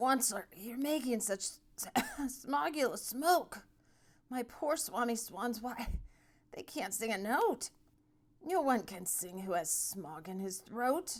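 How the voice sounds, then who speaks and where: The put-on character voice is hoarse and croaky. It moves at a fairly slow pace with very wide pitch swings. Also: woman, high pitch for a woman. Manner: complaining, pleading.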